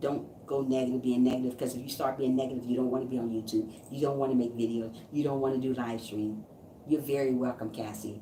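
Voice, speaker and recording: Through audible room echo, a woman with a very deep, low pitch talks at a fairly quick pace in a monotone, flat intonation. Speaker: YouTube live streamer and motivational speaker. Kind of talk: motivational live stream chat. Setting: live stream. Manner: fast; stumbling over words.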